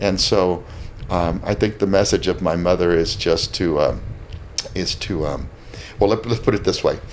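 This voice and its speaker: Noticeable noise sits behind the speaker. He is a man with a very deep, low voice. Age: 60s. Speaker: restaurant owner. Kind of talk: casual interview chat. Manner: halting, with frequent repetitions.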